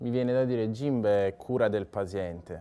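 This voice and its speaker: A man speaks in a dark, mellow tone with fairly even intonation. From Sicily, Ragusa; Sicily. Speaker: physiotherapist. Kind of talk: interview testimony. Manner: hesitant, many fillers. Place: bar. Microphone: lapel.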